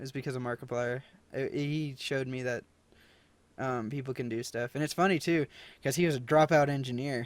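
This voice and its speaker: A man speaks at a medium pitch and a fairly quick pace with fairly even intonation, on a very clean recording with a silent background. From United States. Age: 20s. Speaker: YouTuber and podcast host. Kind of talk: casual chat. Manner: hesitant, many fillers.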